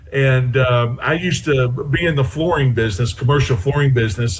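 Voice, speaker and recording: There is noticeable background noise. Over it, a man with an American accent talks at a fairly quick pace. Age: 60s. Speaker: former NFL player, radio co-host. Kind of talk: casual chat.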